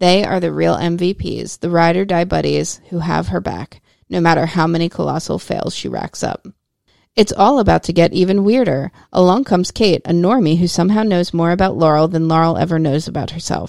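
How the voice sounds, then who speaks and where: With a normal speaking voice, a woman talks at a fairly quick pace with ordinary pitch variation. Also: fairly low pitch for a woman. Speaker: podcast host. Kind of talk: bedtime story narration. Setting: home studio. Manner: playful storytelling, lilting.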